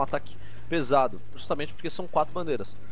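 A man with a Brazilian accent speaks with lively intonation. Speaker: technical co-commentator. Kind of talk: sports commentary, analysis. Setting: online stream, remote. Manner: explanatory, calm, analytical.

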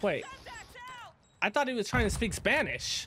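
The man's fairly slow speech comes through noticeable background noise. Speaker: gaming YouTuber and streamer. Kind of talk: casual gameplay commentary with tips. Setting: online game voice chat. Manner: animated, casual, chatty.

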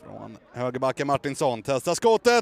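An animated voice with ordinary pitch variation is heard over noticeable background noise. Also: man. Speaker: football commentator. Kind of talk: live football commentary. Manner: fast, animated, excitable; breathless, rapid play-by-play.

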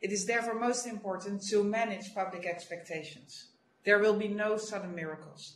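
There is audible room echo and light background noise. A woman speaks at a moderate pace with fairly even intonation. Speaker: official briefing a council. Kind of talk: formal prepared briefing. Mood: serious, measured. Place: office. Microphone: video call.

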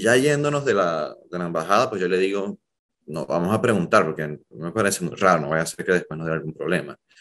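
Against a quiet background, a man with a very deep, low pitch talks at a fairly quick pace with lively intonation. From Venezuela, Zulia region; Venezuela. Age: 30s. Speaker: journalist and emigrant; interview guest. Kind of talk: interview, personal story. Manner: hesitant, many fillers. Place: home room. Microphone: webcam.

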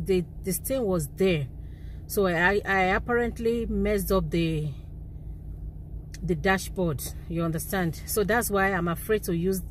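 Over light background noise, a woman speaks at a fairly slow pace with ordinary pitch variation. The sound is dry, with no echo. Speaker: vlogger. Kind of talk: casual vlog chat. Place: car. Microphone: phone near.

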